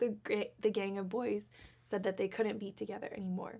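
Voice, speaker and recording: Soft-spoken, a woman talks at a fairly high pitch with fairly even intonation. The recording is very clean, with a silent background. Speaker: children's show co-host. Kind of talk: storytelling for children.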